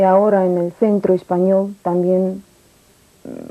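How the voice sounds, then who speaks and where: In a Russian accent, a woman speaks very slowly with a medium pitch, a dark, mellow tone and a monotone, flat intonation. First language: Russian (speaking Spanish). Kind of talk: interview testimony. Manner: halting.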